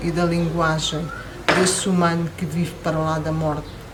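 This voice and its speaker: A woman's fairly low voice at a fairly slow pace, with audible room echo and noticeable background noise. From Angola, then Portugal. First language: Portuguese (speaking French). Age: 60s. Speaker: poet. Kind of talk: poetry reading. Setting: poetry festival interview.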